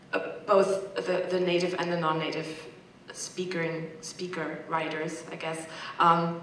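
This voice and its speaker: Against noticeable background noise and audible room echo, a woman with a fairly low pitch talks at a fairly slow pace in a monotone, flat way. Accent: German. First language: German. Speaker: corpus linguistics researcher, audience member. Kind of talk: panel Q&A comment. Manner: hesitant, many fillers.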